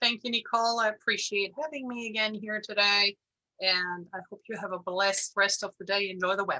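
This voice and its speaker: With a German accent, a woman speaks at a fairly quick pace and medium pitch, her tone bright and sharp, her intonation fairly even, and the sound dry and close with no echo. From Germany, Bavaria. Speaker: insurance broker. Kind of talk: presentation. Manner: hesitant, many fillers.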